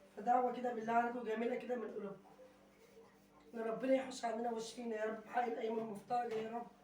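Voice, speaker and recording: With an Egyptian accent, a woman talks at a very fast pace and fairly high pitch in monotone, flat intonation, with noticeable background noise and audible room echo. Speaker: vlogger. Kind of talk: casual vlog chat.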